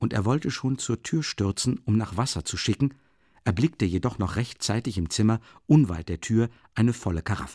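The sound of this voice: The voice reads in an unforced way.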